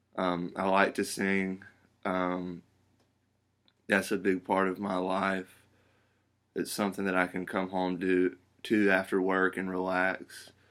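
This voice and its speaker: With an Alabama accent, a man speaks at a fairly slow pace in a very deep, low pitch and a monotone, flat intonation, leaving long, frequent pauses, in a very clean recording with a silent background. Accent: Southern US (Alabama). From US South, Alabama (Pelham). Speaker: job applicant. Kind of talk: video job application, self-introduction. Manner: halting, with frequent ums.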